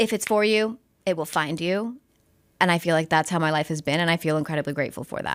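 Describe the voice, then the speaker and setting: Very fast speech with ordinary pitch variation, on a very clean recording with a silent background. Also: woman, fairly low pitch for a woman. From El Paso, Texas (US-Mexico border). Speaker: sports broadcaster. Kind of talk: casual podcast interview. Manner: clear careful enunciation.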